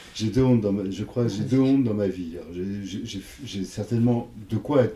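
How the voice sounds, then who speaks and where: Pitch variation stays ordinary as a man talks. He keeps to a moderate pace. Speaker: psychoanalyst. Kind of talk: interview. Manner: halting.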